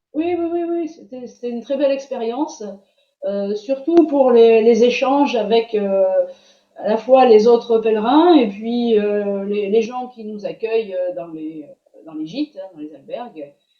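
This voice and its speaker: A woman's fairly high voice, lively in intonation, with big swings in loudness and a fairly slow pace. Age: 60s. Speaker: student giving a testimonial. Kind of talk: interview testimony. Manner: hesitant, many fillers.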